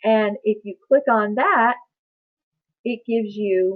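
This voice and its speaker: At a fairly slow pace, this woman keeps her intonation fairly even. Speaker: medical billing trainer. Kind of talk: webinar presentation. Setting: online webinar.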